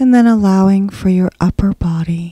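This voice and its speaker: An unremarkable speaking voice from a woman, medium in pitch with ordinary variation, in a dry, close sound with no echo. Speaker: hypnosis guide. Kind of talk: guided hypnosis meditation. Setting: solo audio recording. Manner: slow, soothing, hushed and unhurried, with long pauses; gentle, calm, hypnotic cadence.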